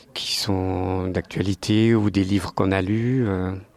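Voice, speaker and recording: A man talks at a very slow pace with a fairly low pitch. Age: 60s. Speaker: retiree, sports club president. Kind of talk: interview. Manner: hesitant, many fillers.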